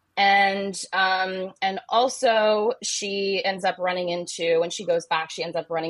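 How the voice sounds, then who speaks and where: Over a quiet background, a woman with a normal speaking voice talks at a fairly slow pace with ordinary pitch variation. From Ohio. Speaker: romance novelist. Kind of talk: casual interview chat.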